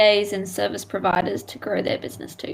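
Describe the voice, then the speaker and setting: A woman with an Australian accent talks with vocal fry. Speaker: virtual assistant. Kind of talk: casual chat.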